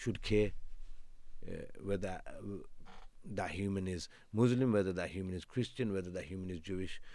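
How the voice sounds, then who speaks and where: A man's fairly low-pitched voice with a dark, mellow tone. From England, West Midlands. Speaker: criminal defence lawyer. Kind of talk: podcast interview.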